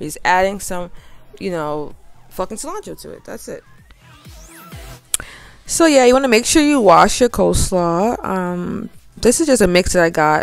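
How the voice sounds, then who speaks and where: With music in the background, a woman speaks at a medium pitch and a moderate pace in a relaxed tone, with very wide pitch swings, big swings in loudness and long, frequent pauses. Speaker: home cook, cooking channel host. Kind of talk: casual cooking tutorial. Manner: casual, relaxed.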